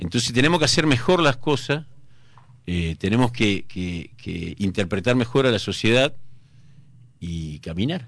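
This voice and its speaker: Using a Rioplatense accent, a man at medium pitch makes very wide pitch swings, keeping a moderate pace broken by long, frequent pauses. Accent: Argentine Spanish (rioplatense). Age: 50s. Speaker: mayoral candidate, politician. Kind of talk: radio interview. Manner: hesitant, frequent filler 'eh' and repetitions.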